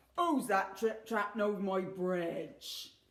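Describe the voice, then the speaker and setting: In a put-on character voice, a man bellows gruffly at a fairly slow pace and a high pitch. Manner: roaring, gruff.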